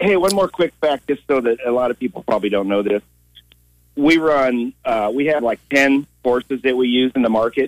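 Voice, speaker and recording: A man's normal speaking voice, medium in pitch with ordinary pitch variation, moderate pace and very even loudness, in a dry, close sound with no echo. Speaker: carriage driver. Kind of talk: radio call-in. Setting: phone call.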